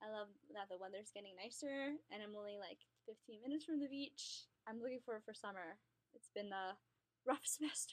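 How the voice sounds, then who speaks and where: At a fairly quick pace, a woman with an American accent speaks in a fairly high voice with ordinary pitch variation. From Long Island, New York. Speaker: social work graduate student. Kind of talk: casual interview chat. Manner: animated.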